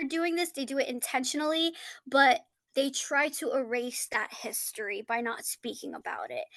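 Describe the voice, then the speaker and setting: With an American accent, a woman speaks at a high pitch and fairly slow pace with ordinary pitch variation against a quiet background. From United States, Turkish family. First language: Turkish. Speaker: graduate student. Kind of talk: class discussion. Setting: podcast recording of a class.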